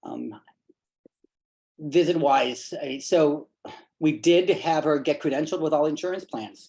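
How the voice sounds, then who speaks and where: A man with a fairly high pitch and ordinary pitch variation talks with long, frequent pauses. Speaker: pediatric primary care provider. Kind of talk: committee meeting presentation. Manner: fast.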